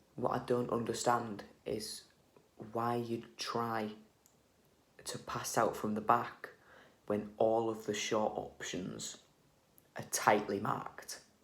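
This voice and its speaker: Quiet and at a very slow pace, a man speaks at medium pitch with monotone, flat intonation and long, frequent pauses, with audible room echo around him. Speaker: football fan vlogger. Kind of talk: match reaction vlog. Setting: at home. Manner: quiet, hushed.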